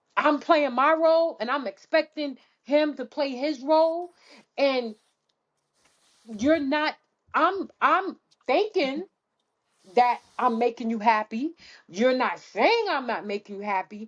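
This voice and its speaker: Loud and animated, a woman with a high pitch speaks with long, frequent pauses. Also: lively intonation, fairly slow pace. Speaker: podcast co-host. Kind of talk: casual chat.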